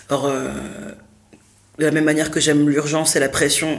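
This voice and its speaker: Audible room echo hangs around the recording. A woman talks in a very deep, low pitch. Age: 30s. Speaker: theatre director and performer. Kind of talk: interview. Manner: halting.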